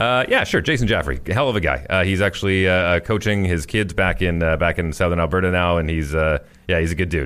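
Very deep, low male voice with a Manitoban accent at a very fast pace, on a very clean recording with a silent background. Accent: Canadian (Manitoba). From Winnipeg, Canada. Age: 40s. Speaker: morning radio host. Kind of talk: casual chat. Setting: studio.

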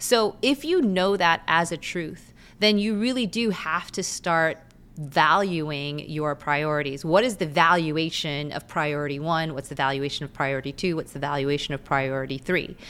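A woman with very deep, low pitch talks at a moderate pace with ordinary pitch variation on a very clean recording with a silent background. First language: Korean. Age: 40s. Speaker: content creator and lawyer. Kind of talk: casual podcast interview. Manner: articulate, well spoken.

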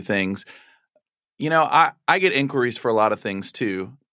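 Someone with an American accent and an ordinary speaking voice talks at a moderate pace on a very clean recording with a silent background. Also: man. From Texas. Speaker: photographer and educator. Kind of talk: interview conversation.

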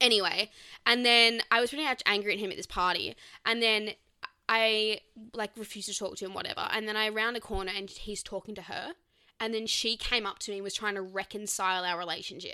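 A woman's fairly high, bright, sharp voice with an Australian accent, fairly even intonation and a fairly quick pace. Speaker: podcast co-host. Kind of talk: casual chat.

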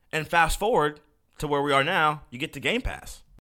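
Over a silent background in a very clean recording, a man speaks with an animated, bright, sharp tone and vocal fry. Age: 20s. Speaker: gaming podcast host. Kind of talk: casual solo podcast monologue.

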